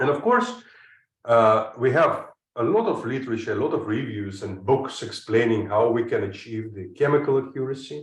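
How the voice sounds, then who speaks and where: A man speaks with a non-native accent at a moderate pace. Room echo is audible. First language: not English. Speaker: chemistry professor. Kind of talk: lecture. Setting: online seminar. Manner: hesitant, frequent uh fillers.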